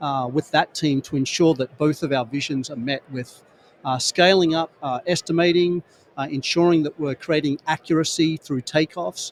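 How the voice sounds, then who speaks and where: Speaking with an Australian accent, a man keeps a moderate pace, fairly even intonation and a fairly high pitch. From Australia, rural New South Wales. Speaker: construction industry executive. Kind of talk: podcast interview at trade show. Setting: trade show booth.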